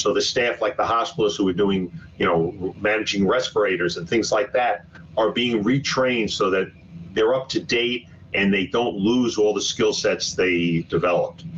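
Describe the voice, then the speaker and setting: With a New York accent, a man speaks at a very even loudness. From Brooklyn, New York City. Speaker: physician and hospital executive. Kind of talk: webinar presentation. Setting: online webinar. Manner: fast.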